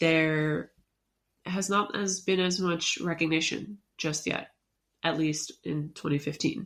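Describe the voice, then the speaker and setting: Her pitch is fairly low for a woman. She speaks at a fairly slow pace with fairly even intonation. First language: not English. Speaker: podcast co-host. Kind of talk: casual discussion of a research paper. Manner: halting, stumbles over words.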